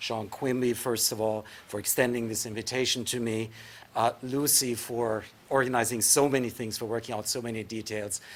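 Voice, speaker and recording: Monotone, flat intonation from a man at medium pitch and moderate pace, with noticeable background noise. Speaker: professor of English. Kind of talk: lecture. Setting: lecture hall with audience.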